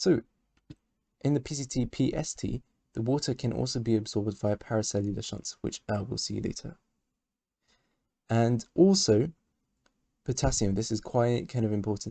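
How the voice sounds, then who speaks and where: At a moderate pace and with long, frequent pauses, the voice has a dark, mellow tone and ordinary pitch variation in a dry, close sound with no echo. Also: man. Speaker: medical educator. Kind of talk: lecture. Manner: halting.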